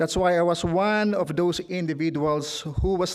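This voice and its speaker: Someone with a Filipino accent speaks at a moderate pace with ordinary pitch variation on a very clean recording with a silent background. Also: man. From Philippines. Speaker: trade union leader. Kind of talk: speech. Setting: stage with audience. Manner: formal.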